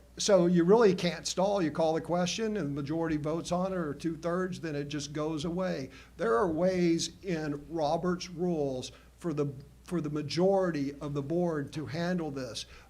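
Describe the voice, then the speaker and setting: In a room with audible echo, a man with an American accent speaks at a moderate pace and a fairly high pitch, his intonation fairly even. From Oklahoma. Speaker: school board member. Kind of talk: board meeting debate. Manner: halting, many restarts.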